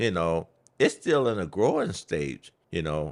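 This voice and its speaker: A man's voice shows vocal fry and very wide pitch swings. The recording is very clean, with a silent background. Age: 60s. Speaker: podcast host's father. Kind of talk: casual chat.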